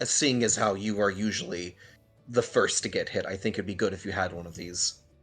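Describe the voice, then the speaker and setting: Faint music plays behind a man doing a raspy, put-on character voice at a fairly low pitch and a fairly quick pace. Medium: actual play.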